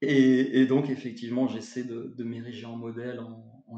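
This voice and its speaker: Audible room echo surrounds a man speaking at medium pitch. His intonation is monotone and flat, and his pace fairly slow. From France, Bordeaux. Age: 40s. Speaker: English teacher and author. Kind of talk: interview. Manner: halting, many repetitions.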